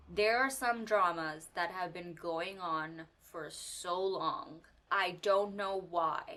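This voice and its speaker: Very slowly, a woman talks at a medium pitch with ordinary pitch variation, over noticeable background noise and audible room echo. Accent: Pakistani. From Pakistan. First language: Urdu. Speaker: media commentary youtuber. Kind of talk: casual commentary video.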